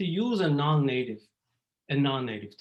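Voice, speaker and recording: A man's fairly high, somewhat breathy voice with an Israeli accent. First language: Hebrew. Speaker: psychology professor. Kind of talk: lecture. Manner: halting, many fillers.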